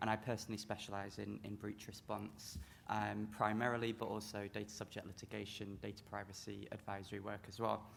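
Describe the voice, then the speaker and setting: In a British accent, a man with a fairly low pitch and vocal fry talks at a fairly quick pace with hardly any pauses and a monotone, flat intonation. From UK. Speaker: lawyer. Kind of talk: panel discussion. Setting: conference stage with audience.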